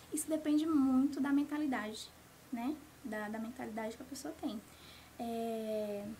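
A woman with a high pitch and ordinary pitch variation speaks with long, frequent pauses. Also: moderate pace. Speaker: life coach. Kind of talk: interview.

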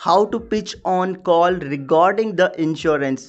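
A man's high-pitched voice at a very slow pace, with ordinary pitch variation. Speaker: podcast host, sales coach. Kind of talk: solo podcast tutorial.

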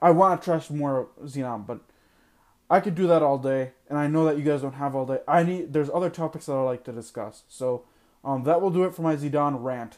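The speaker has a normal speaking voice with ordinary pitch variation. The pace is fairly quick, and the recording is very clean with a silent background. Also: man, fairly high pitch for a man. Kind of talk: angry rant. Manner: exasperated, heated, ranting with sarcastic disbelief; self-mocking, fed-up and loud-sounding, losing patience.

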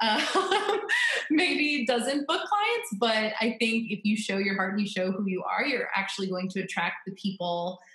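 A woman speaks with an American accent at a fairly slow pace, her intonation lively. Noticeable background noise runs under her voice. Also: fairly high pitch for a woman. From Florida. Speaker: wedding photographer. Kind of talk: casual interview. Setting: remote call from home office.

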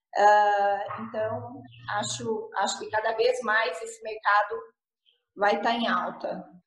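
A very slow woman's voice at medium pitch, with vocal fry, ordinary pitch variation and audible room echo. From Paraná, southern Brazil. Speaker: architect. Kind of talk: interview.

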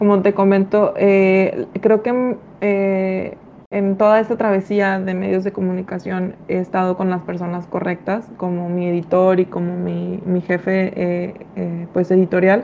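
With a Mexican accent and a dark, mellow tone, a woman speaks at medium pitch in a monotone with flat intonation. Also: fairly slow pace. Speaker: American football commentator. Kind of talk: casual sports podcast discussion.

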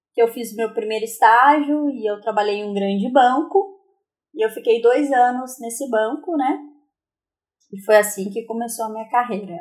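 A plain, everyday voice at a moderate pace, with big swings in loudness and ordinary pitch variation. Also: woman, fairly high pitch for a woman. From Brazil, interior of São Paulo state (Aparecida). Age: 30s. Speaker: psychology student. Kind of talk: interview. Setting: remote recording.

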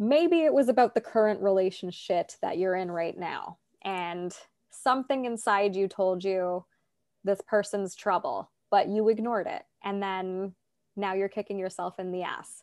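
A woman with a Canadian accent speaks in an unremarkable speaking voice at medium pitch and a moderate pace, with ordinary pitch variation. The recording is very clean with a silent background and a dry, close sound with no echo. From Toronto, Canada. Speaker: life coach and podcast host. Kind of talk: casual interview chat.

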